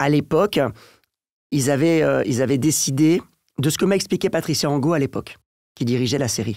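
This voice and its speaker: Pausing long and often, a man with a fairly high pitch and ordinary pitch variation speaks, the sound dry with no echo. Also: quiet background. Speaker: voice actor and dubbing director; voice actor. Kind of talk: interview answer. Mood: calm, reflective. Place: studio. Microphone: studio mic.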